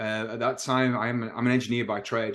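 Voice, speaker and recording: Speaking with an English accent, a man talks at a fairly quick pace, his medium-pitched voice keeping a fairly even intonation. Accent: English accent, noticeable. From northern England, Manchester. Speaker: realtor. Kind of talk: interview.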